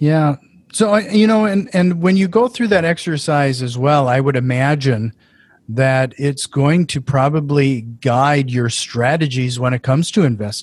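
Speaking in an Upper Midwest accent, a man has a fairly high pitch for a man. He moves at a fairly slow pace with lively intonation. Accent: Upper Midwest American. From Fargo, North Dakota. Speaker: podcast host. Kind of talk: casual interview.

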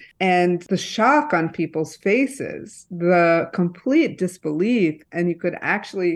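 Very slowly and with lively intonation, a woman with a medium pitch and a Midwestern US accent speaks over a quiet background. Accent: General American, Midwestern. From Michigan, East Lansing. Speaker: journalist and author. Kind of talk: radio interview.

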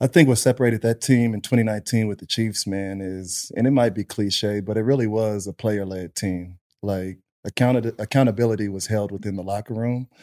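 With an American accent, a man has an unremarkable speaking voice, a fairly low pitch and fairly even intonation, talking at a fairly quick pace in a dry, close sound with no echo. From Texas, Pflugerville near Austin. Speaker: retired professional football player. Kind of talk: casual chat.

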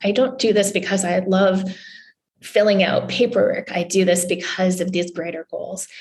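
This voice belongs to a woman. There is a somewhat breathy quality to it. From Newfoundland, Canada. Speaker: journalist. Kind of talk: interview.

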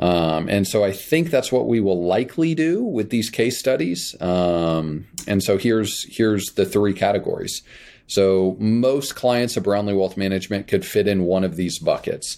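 A man with an American accent, fairly low in pitch with a dark, mellow tone, lively intonation, very even loudness and hardly any pauses, in a very clean recording with a silent background. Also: moderate pace. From Kansas. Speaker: financial planner podcast host. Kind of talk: educational podcast monologue. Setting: recording away from studio at parents' house.

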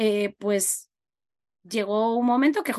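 Talking at a very slow pace, a woman uses lively intonation. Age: 40s. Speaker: podcast host. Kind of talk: casual interview chat.

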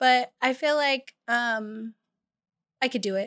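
In a bright, sharp tone, a woman talks fairly slowly, with a dry, close sound and no echo. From California (Bakersfield). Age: 20s. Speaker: photographer. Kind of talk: casual chat.

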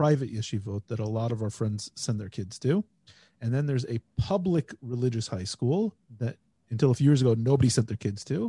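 A man with an American accent speaks at medium pitch with ordinary pitch variation, his tone dark, mellow and somewhat breathy. The sound is dry and close with no echo, over a quiet background. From United States. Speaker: podcast host. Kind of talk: casual chat.

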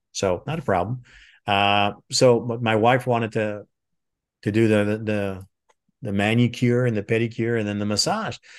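A man with a French Canadian accent and fairly even intonation. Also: medium pitch for a man, moderate pace, quiet background. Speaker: retired military intelligence officer, trainer. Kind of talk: interview.

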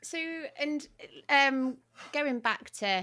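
With a British accent, a woman talks in a bright, sharp yet warm tone with lively intonation, on a very clean recording with a silent background. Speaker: podcast host. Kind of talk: casual interview chat. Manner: friendly, warm.

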